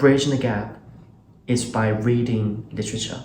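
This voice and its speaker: With a Chinese accent, a man speaks at a moderate pace and medium pitch, his voice somewhat breathy and his intonation monotone and flat, with audible room echo. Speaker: channel host, interviewer. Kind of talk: casual conversation.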